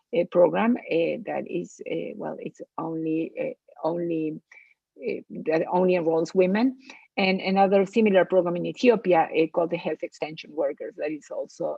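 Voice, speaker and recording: A woman speaks at a moderate pace in a Latin American accent. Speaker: public health expert. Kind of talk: lecture. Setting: webinar. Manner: halting, many fillers.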